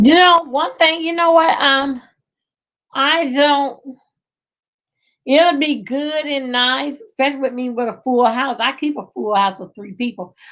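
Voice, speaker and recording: Speaking with a strong Southern US accent, a woman talks at a high pitch with ordinary pitch variation. Her pace is fairly slow, with long, frequent pauses and big swings in loudness. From rural Georgia, US South. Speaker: livestreamer. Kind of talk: casual live chat. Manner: chatty, rambling with hesitations.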